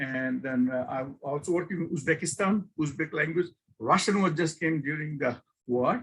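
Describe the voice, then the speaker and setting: This man has a non-native accent and lively intonation. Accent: noticeable non-native. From Bangladesh. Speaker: professor. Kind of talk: guest lecture. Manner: informal; halting.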